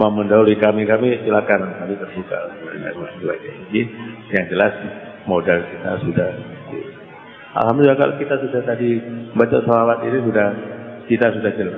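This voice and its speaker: Amid audible room echo and music in the background, a man with a fairly low pitch talks at a fairly quick pace with ordinary pitch variation and long, frequent pauses. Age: 60s. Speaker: Islamic cleric. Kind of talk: religious sermon. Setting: pesantren gathering after dawn prayer.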